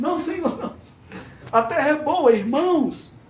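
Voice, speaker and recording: Through audible room echo and noticeable background noise, a man talks at a moderate pace and an extremely high pitch. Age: 60s. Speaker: preacher. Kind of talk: sermon. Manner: animated.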